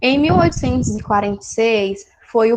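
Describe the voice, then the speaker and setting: This woman's voice sits high in pitch and moves with ordinary variation. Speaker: study group teacher. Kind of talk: lecture.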